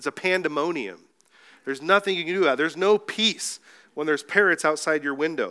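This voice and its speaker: In a very clean, dry, close recording with no echo and a silent background, a man talks at a fairly quick pace with a bright, sharp tone, a fairly high pitch and ordinary pitch variation. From Mexico. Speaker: pastor. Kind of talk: sermon. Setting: church.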